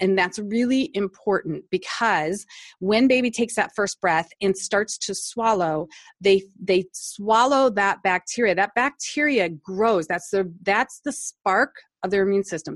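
At a fairly slow pace, a woman speaks in a normal speaking voice at medium pitch with ordinary pitch variation. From US Midwest, Cleveland Ohio. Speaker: nurse anesthetist and natural dental product maker. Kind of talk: interview.

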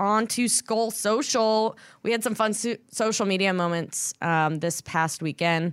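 On a very clean recording with a silent background, a woman uses a normal speaking voice, fairly high in pitch, with lively intonation at a fairly slow pace. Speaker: podcast host and team sideline reporter. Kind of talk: casual podcast hosting and interview. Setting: studio.

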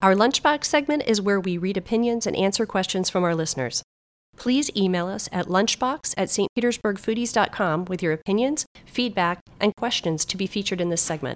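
In an unremarkable speaking voice with an American accent, a woman talks at a fairly quick pace and medium pitch with lively intonation, the sound dry and close with no echo. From Florida, Clearwater. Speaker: podcast host. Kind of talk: scripted narration; casual chat.

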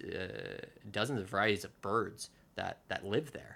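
A man with an American accent and a bright, sharp tone. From New Jersey. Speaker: urban tour organizer. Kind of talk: interview. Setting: home, on a couch. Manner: halting, many fillers.

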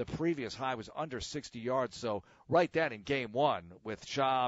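A man talks with an ordinary speaking voice. He keeps a moderate pace and ordinary pitch variation. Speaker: sports radio host. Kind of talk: casual solo podcast monologue. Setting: home, alone.

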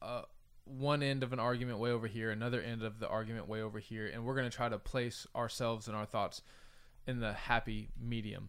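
In a very clean recording with a silent background, a man has an ordinary speaking voice, talking at a fairly quick pace with a medium pitch. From United States. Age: 30s. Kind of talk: casual discussion.

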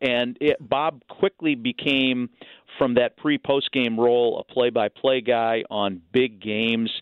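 The speaker is a man with an ordinary speaking voice and an American accent. At a fairly slow pace, his medium pitch carries fairly even intonation. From Northern California, East Bay. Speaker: baseball broadcaster. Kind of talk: radio interview.

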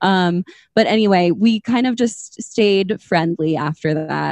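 A woman with an American accent speaks in an unremarkable speaking voice, fairly low in pitch with ordinary variation, in a dry, close sound with no echo. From Minnesota. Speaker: podcast host. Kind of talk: casual chat.

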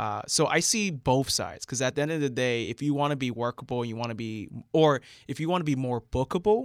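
A man with an American accent and a plain, everyday voice speaks at a fairly quick pace with medium pitch and ordinary pitch variation, in a dry, close sound with no echo on a very clean recording with a silent background. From central Florida. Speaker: comedian. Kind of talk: casual chat.

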